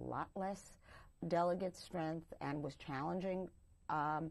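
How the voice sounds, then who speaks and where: Speaking at a fairly slow pace with an American accent, a woman has a fairly low pitch and ordinary pitch variation. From New York City (Brooklyn/Queens). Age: 60s. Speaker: political party official. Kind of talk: interview.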